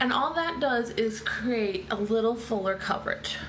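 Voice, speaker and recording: A woman speaks at a moderate pace with a high pitch. Noticeable background noise and audible room echo fill the recording. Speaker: makeup seller and beauty vlogger. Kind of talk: live makeup tutorial. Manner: chatty, casual.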